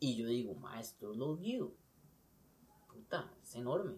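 A man with a Costa Rican accent speaks with very wide pitch swings. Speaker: police officer. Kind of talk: casual chat.

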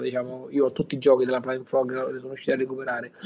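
A man speaks over noticeable background noise. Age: 40s. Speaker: board game collector. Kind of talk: casual chat. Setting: remote call.

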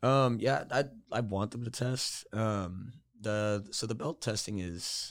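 A man with an unremarkable speaking voice talks at a fairly low pitch with ordinary pitch variation on a very clean recording with a silent background. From Georgia, US South. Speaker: MMA fighter and coach. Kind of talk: casual chat.

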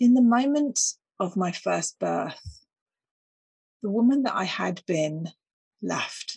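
Somewhat breathy and medium in pitch, a woman speaks very slowly with long, frequent pauses in a dry, close sound with no echo. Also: lively intonation. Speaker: podcast host. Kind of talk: solo reflective monologue.

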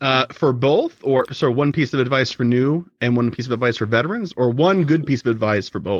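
An unremarkable speaking voice moves at a fairly quick pace with hardly any pauses. Its pitch varies in an ordinary way. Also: man, medium pitch for a man. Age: 30s. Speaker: podcast host, guest. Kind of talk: casual interview chat. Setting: remote recording.

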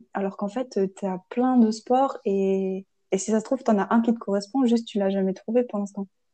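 An unremarkable speaking voice belongs to a woman with a fairly high pitch. She keeps a moderate pace and fairly even intonation. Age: 20s. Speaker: podcast host, chemistry engineering student. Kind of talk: casual chat.

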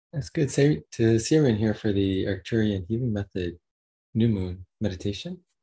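Fairly low male voice, dark and mellow in tone, somewhat breathy, with lively intonation. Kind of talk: guided meditation. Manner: slow, soft-spoken, calm.

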